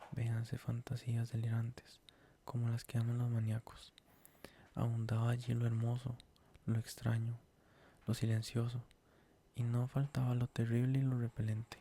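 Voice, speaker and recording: Talking at a moderate pace with long, frequent pauses, a man uses a somewhat breathy, dark, mellow voice of medium pitch, with monotone, flat intonation and very even loudness. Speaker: ASMR creator reading stories. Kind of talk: horror story reading for sleep (ASMR).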